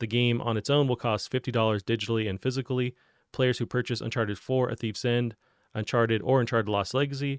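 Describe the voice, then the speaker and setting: A man's plain, everyday voice at medium pitch, with fairly even intonation and a fairly quick pace, in a dry, close sound with no echo. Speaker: podcast host. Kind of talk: casual chat. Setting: video call.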